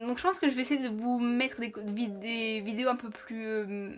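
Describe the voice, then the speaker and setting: A woman speaks in a high voice. There is noticeable background noise. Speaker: YouTuber. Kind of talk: casual vlog talk to camera. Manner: fast; not always clearly articulated.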